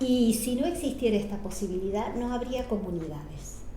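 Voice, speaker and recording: Amid noticeable background noise and audible room echo, a woman speaks at a moderate pace with a fairly high pitch. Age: 70s. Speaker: biodiversity specialist. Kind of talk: casual chat.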